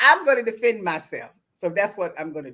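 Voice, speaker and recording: A woman's bright, sharp, animated voice in a Southern US accent, medium in pitch, with lively intonation at a moderate pace. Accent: Southern US accent, kept. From US South. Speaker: online talk show host. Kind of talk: casual chat.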